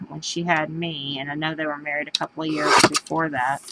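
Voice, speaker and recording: Noticeable background noise sits behind a woman speaking at a moderate pace. Her very deep, low voice keeps a fairly even intonation. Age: 40s. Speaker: craft show host. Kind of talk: casual chat. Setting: live video stream. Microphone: cutting in and out.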